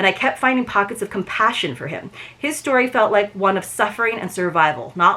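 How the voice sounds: Here is a natural reading voice. The pitch variation is ordinary.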